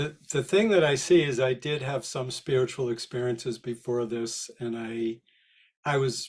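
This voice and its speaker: A somewhat breathy man at a medium pitch, talking at a moderate pace with ordinary pitch variation. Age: 60s. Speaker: spiritual healer and therapist. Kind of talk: interview.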